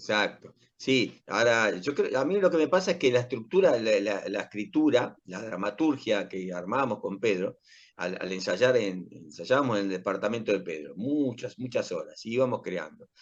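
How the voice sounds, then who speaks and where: Medium pitch with very wide pitch swings from a man at a moderate pace, in an Argentine accent. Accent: Rioplatense Argentine Spanish. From Argentina, Rosario. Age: 60s. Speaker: actor and playwright. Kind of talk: interview. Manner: halting.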